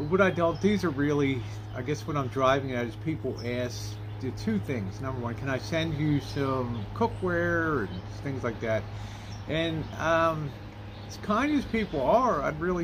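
This man's moderate-paced speech has noticeable background noise behind it. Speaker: vlogger. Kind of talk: casual vlog chat. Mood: relaxed, chatty. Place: garden. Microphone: phone near.

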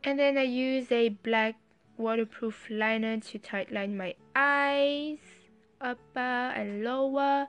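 A very slow, high-pitched woman's voice with a strong French accent, fairly even intonation, and music in the background. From France. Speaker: beauty vlogger. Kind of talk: makeup tutorial voice-over.

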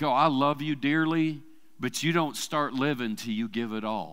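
In an Arkansas accent, the speaker has a bright, sharp tone and talks fairly slowly with ordinary pitch variation against a quiet background. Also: man. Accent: US Southern (Arkansas). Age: 50s. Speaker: church preacher. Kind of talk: sermon. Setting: church service with congregation. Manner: casual, conversational with fillers. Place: church. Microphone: headset.

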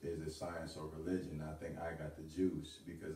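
Very deep and low, a man's voice comes across with a confident tone at a fairly quick pace. His intonation is monotone and flat, and room echo is audible. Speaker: spoken word artist. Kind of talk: spoken word poetry performance at open mic. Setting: live open mic venue. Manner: rhythmic, confident delivery. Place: home room. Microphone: camera far.

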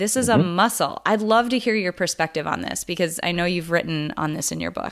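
A woman speaks with an American accent and a fairly low pitch. The recording is very clean, with a silent background. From US Midwest, North Dakota. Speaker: podcast host, psychologist. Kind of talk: casual interview. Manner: animated.

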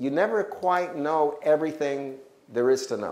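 The speaker talks at a moderate pace with lively intonation. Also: man. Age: 60s. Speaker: health educator. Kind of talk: testimony. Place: hall. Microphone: lapel.

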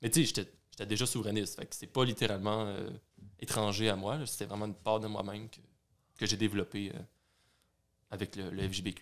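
A man talks at a moderate pace with fairly low pitch and fairly even intonation, his loudness swinging widely. Long, frequent pauses break up his speech against a quiet background. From Quebec. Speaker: youth party secretary, student; podcast guest. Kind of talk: interview. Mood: relaxed, reflective. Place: home room. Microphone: studio mic.

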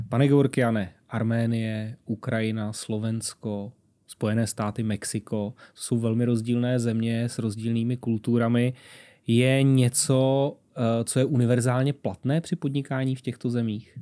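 Against a quiet background, a man with a dark, mellow tone talks at a fairly slow pace with fairly even intonation. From Czech Republic. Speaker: podcast host. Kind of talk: interview. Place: studio. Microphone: studio mic.

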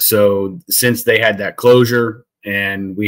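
In a quiet background, a man's voice is heard. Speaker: guest. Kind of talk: interview answer. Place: home room.

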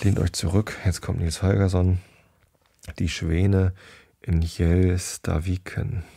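At a very slow pace with long, frequent pauses, a man speaks in a very deep, low pitch, somewhat breathy, with a dark, mellow and relaxed tone and monotone, flat intonation. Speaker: podcast host who reads bedtime stories. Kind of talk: casual chat then reading aloud. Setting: home recording, solo. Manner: relaxed, rambling, uses many fillers.

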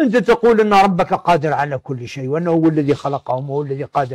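A man with a fairly high pitch talks at a moderate pace against a quiet background. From Algeria. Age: 60s. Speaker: sociology professor. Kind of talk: lecture-style interview. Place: office.

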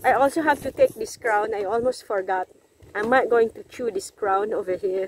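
With a Filipino accent, this speaker talks at a moderate pace with ordinary pitch variation, in a dry sound with no echo and light background noise. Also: woman. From Philippines. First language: Tagalog. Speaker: vlogger. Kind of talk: casual vlog. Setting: outdoors. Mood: cheerful, laughing. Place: waterside. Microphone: phone near.

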